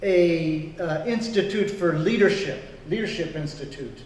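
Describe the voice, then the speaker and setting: A high-pitched man speaking fairly slowly with ordinary pitch variation, audible room echo and noticeable background noise. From grew up in Congo. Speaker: pastor. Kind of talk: interview.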